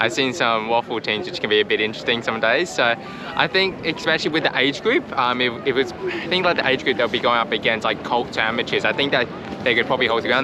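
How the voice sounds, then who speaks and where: A man with a strong Australian accent talks at a very fast pace, medium in pitch, with lively intonation. Music plays in the background. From Australia, Perth. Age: young. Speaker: travel vlogger. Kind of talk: casual interview. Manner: hesitant with fillers.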